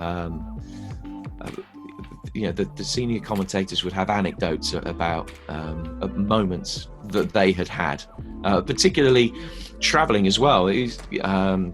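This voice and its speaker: Music plays in the background as a man speaks at a fairly slow pace. His very deep, low pitch carries a lively intonation. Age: 40s. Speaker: football commentator. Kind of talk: interview answer. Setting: online video call interview.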